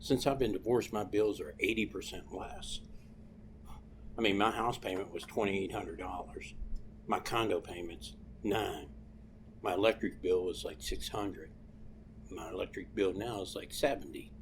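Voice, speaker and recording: A man with a Southern US accent at a moderate pace, with long, frequent pauses. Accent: hillbilly-sounding, by own account. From Ohio. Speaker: comedian. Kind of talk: casual chat.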